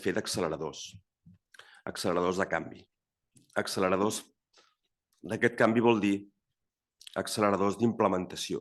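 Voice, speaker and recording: Over a quiet background, a man with a fairly low pitch speaks at a very fast pace with fairly even intonation. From Catalonia. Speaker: network secretary general. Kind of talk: panel discussion. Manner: halting.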